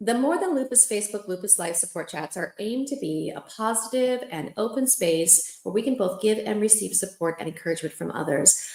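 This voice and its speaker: A woman's voice with lively intonation at a fairly quick pace, hardly any pauses, and noticeable background noise. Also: medium pitch for a woman. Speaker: lupus support chat host. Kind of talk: live-stream support chat. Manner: fast; animated.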